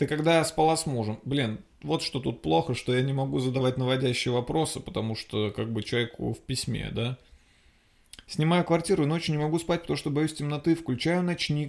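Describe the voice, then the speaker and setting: Here a man speaks at a medium pitch with ordinary pitch variation. His pace is fairly quick. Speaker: podcast host, comedian. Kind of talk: casual comedic monologue. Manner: loud; animated.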